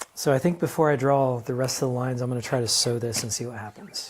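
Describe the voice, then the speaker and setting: This man speaks at a fairly quick pace and a medium pitch. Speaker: husband learning to sew. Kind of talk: casual chat. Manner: quiet, almost whispering when concentrating. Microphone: volume turned up because he speaks quietly.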